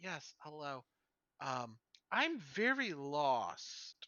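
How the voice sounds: The speaker uses a put-on character voice, low-to-middle in pitch. The pace is very slow.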